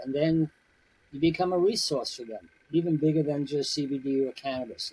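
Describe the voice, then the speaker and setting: At a moderate pace, a man speaks with a somewhat breathy, dark, mellow tone. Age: 70s. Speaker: CBD business owner. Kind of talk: casual chat. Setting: podcast interview. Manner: conversational, many filler words.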